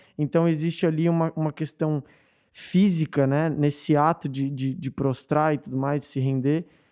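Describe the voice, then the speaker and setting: In a very clean recording with a silent background, a man with an unremarkable speaking voice talks at a fairly slow pace, his fairly high pitch held in fairly even intonation. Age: 20s. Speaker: worship leader, pastor's son. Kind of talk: casual chat.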